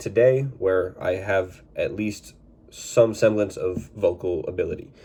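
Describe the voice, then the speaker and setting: A man speaks at a fairly low pitch. His dark, mellow tone is somewhat breathy. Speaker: sports card collector YouTuber. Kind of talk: casual vlog recap.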